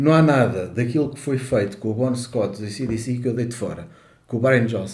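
Somewhat breathy male voice at medium pitch and moderate pace, with ordinary pitch variation, big swings in loudness, and audible room echo. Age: 60s. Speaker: podcast co-host. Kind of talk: casual chat.

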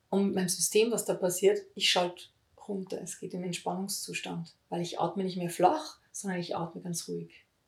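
Over music in the background, a woman talks at a moderate pace with big swings in loudness. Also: medium pitch for a woman, fairly even intonation. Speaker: voice healing teacher. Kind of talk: interview.

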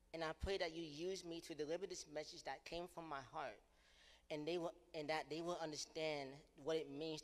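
A man with an ordinary speaking voice talks at a moderate pace, his pitch fairly high and his intonation fairly even. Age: 20s. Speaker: preacher and podcast host. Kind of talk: sermon.

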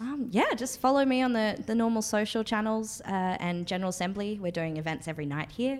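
Fairly quick, lively speech in an Australian accent, with hardly any pauses and noticeable background noise. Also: woman, fairly high pitch for a woman. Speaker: co-host, marketing manager. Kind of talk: casual interview. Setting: in an office in London.

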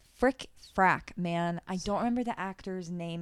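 Someone with a slight Southern US accent talks on a very clean recording against a silent background. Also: woman. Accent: slight Southern twang. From South Florida. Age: 30s. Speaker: podcast co-host. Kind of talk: casual chat.

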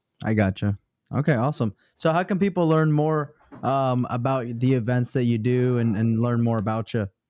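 In a normal speaking voice at a medium pitch, a man speaks at a moderate pace with ordinary pitch variation and very even loudness, in a dry, close sound with no echo over a quiet background. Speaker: podcast co-host. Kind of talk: casual live show. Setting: live stream.

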